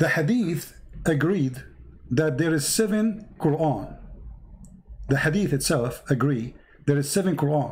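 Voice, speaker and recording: Amid audible room echo, a man with a fairly high voice speaks at a fairly slow pace with lively intonation, very even loudness and long, frequent pauses. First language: not English. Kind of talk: live debate with a caller. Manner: animated.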